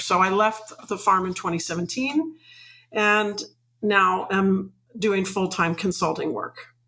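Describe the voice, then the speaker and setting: A woman with a Mid-Atlantic US accent speaks at a moderate pace. Her pitch sits at a medium level. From Washington DC suburbs. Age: 60s. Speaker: retired farmer and farm consultant. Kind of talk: interview.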